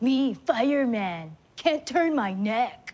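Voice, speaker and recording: In a put-on character voice, a female-sounding voice with a high pitch speaks at a very slow pace. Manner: dim-witted.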